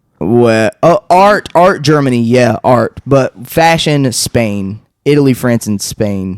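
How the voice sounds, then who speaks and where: Very slow speech from a man at medium pitch with a slight Southern US accent, lively intonation, hardly any pauses, and a dry, close sound with no echo. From North Carolina, Taylorsville. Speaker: painter and podcast host. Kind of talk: casual chat.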